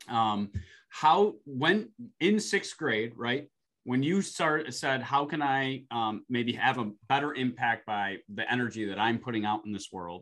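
A plain, everyday voice comes from a man at medium pitch, with lively intonation. He goes at a fairly slow pace against a quiet background. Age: 30s. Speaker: podcast host. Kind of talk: casual interview chat.

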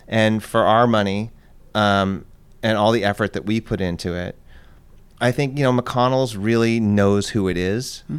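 The speaker has a plain, everyday voice and an American accent. The pace is moderate and the intonation fairly even. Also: man, fairly low pitch for a man. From Los Angeles, Southern California. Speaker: ice cream company owner. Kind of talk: casual chat.

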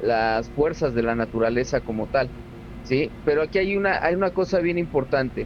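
With noticeable background noise behind him, a man speaks at a moderate pace. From Cuba, Havana. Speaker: Cuban santería practitioner. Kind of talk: interview.

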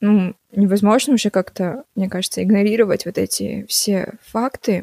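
A woman's medium-pitched, dark, mellow voice at a moderate pace, with ordinary pitch variation and a dry, close sound with no echo. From Kazakhstan, raised from 12 in Shanghai, China. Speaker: singer-songwriter. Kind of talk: interview, casual chat. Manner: hesitant, many filler words.

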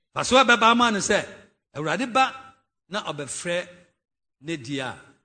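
The voice is bright and sharp, raised and projected. It moves at a fairly slow pace with very wide pitch swings. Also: man. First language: Twi. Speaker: pastor. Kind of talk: sermon. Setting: church.

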